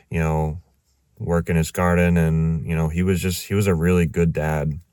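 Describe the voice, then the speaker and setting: Very deep and low in pitch, a man with an American accent speaks at a moderate pace in a dark, mellow tone with monotone, flat intonation, on a very clean recording with a silent background. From Massachusetts, US. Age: 30s. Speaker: vlogger. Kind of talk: personal testimony. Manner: halting, many fillers.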